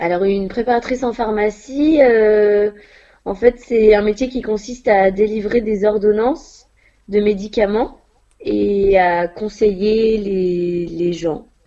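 A woman with a fairly high, dark, mellow voice and ordinary pitch variation, at a very slow pace with long, frequent pauses. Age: 20s. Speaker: pharmacy assistant. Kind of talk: interview. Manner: hesitant, with fillers.

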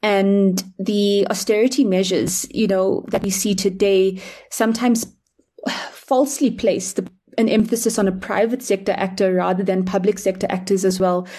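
A woman speaks at a moderate pace and medium pitch with fairly even intonation. Her tone is dark and mellow, somewhat breathy, and very even in loudness. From South Africa, Durban. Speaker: climate finance activist. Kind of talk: podcast panel discussion.

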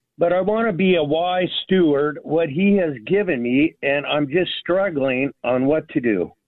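Speaking at a fairly slow pace with hardly any pauses, a man keeps a very even loudness and a fairly high pitch with ordinary variation. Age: 60s. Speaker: retiree, caller. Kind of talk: phone-in question. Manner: halting.

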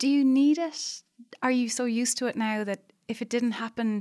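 This woman speaks with an Irish accent. The recording is very clean, with a silent background. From Ireland. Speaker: podcast host. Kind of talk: interview conversation.

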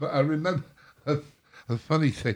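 A man speaks with an English accent. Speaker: drummer. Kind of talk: casual chat. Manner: slightly slurred, hesitant speech.

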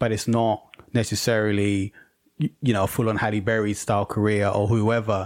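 A man speaks with a London accent in a fairly low pitch. His intonation is monotone and flat, and the sound is dry and close with no echo. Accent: British (London). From England (London), Jamaican heritage. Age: 40s. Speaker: filmmaker and podcast host. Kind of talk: casual chat. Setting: video call.

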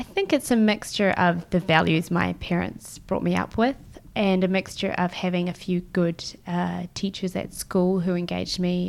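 In a New Zealand accent, a woman speaks with a fairly low pitch. Her intonation is fairly even. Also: moderate pace. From New Zealand, Christchurch. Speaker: social enterprise lawyer. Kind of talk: casual chat.

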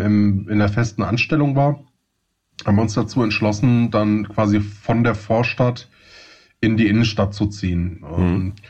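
A man with a slight Hessian accent speaks at a fairly slow pace, somewhat breathy, with fairly even intonation. The background is quiet. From Hesse, Germany. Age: 30s. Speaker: podcast co-host. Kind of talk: casual chat.

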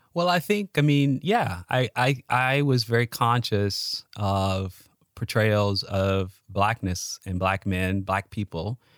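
With an American accent, the speaker goes at a very slow pace with hardly any pauses and ordinary pitch variation, in a dry, close recording with no echo that is very clean, with a silent background. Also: man, fairly low pitch for a man. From Chicago, US (South Side). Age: 40s. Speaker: historian. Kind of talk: casual chat.

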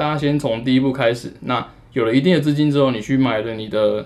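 Using a Taiwanese accent, a man speaks at a fairly quick pace in a medium pitch with fairly even intonation. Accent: Taiwanese Mandarin. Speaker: electronic music producer and DJ. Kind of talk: casual interview.

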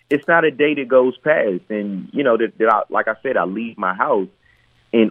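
A man speaks at a moderate pace in an ordinary speaking voice, his medium pitch carried by lively intonation. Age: 40s. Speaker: actor. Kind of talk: interview.

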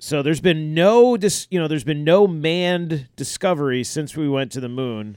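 With a normal speaking voice, a man talks at a moderate pace in a fairly high pitch, with lively intonation and hardly any pauses. The recording is very clean, with a silent background. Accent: American. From Maine, US. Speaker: podcast co-host. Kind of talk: casual chat.

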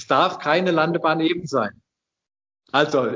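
A man's voice sits fairly high in pitch and moves at a moderate pace. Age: 60s. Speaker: inventor, retired master mason and engineer. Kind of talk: interview. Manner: halting.

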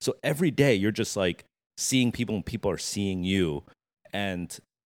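This man has a very deep, low pitch with ordinary variation and an American accent, speaking at a moderate pace. The recording is very clean, with a silent background and a dry, close sound with no echo. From New Jersey, Monmouth County. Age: 40s. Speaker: streetwear designer. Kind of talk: interview.

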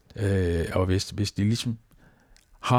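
A somewhat breathy man with a fairly low pitch, recorded very cleanly against a silent background. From Denmark, Falster. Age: 70s. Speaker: retired pastor. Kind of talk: interview. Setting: at his home. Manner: hesitant, many fillers.

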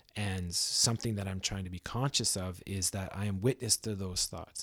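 With a Canadian accent, a man has a normal speaking voice, fairly low in pitch and fairly even in intonation, in a very clean recording with a silent background. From Ontario, Canada. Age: 30s. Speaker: musician and new father. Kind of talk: casual interview chat. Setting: studio.

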